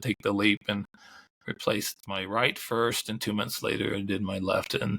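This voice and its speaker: A man speaks at a moderate pace in a fairly low pitch, with a bright, sharp tone and vocal fry. His pitch varies in an ordinary way, and the sound is dry and close with no echo. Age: 60s. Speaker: ultrarunning historian and author. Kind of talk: casual interview chat. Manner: halting, many false starts.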